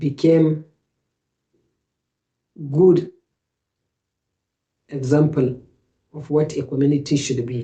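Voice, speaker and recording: Speaking at a very slow pace with long, frequent pauses, a woman has a very deep, low pitch, a dark, mellow tone, a somewhat breathy quality, and fairly even intonation. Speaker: Islamic advice speaker, interview guest. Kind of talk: interview answer, Islamic reminder.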